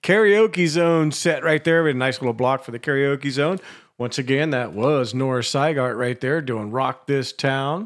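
A man speaks at a moderate pace with fairly high pitch. His is an ordinary speaking voice. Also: ordinary pitch variation. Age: 50s. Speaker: radio host. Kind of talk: casual radio DJ chat. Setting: home basement studio, live broadcast.

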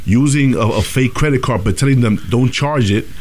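A man speaks fairly quickly at a medium pitch, with ordinary pitch variation. There is noticeable background noise. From Dominican heritage. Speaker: radio host. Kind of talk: casual chat. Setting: studio. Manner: animated.

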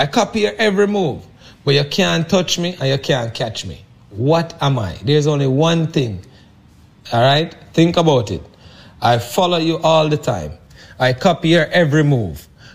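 A man speaks with lively intonation at a fairly high pitch, his voice somewhat breathy. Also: moderate pace. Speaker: health products company president. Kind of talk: sales pitch.

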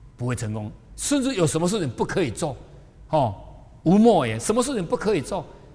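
The voice swings very widely in pitch at a moderate pace. Room echo is audible. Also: man. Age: 60s. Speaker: spiritual teacher. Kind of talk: lecture. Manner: animated.

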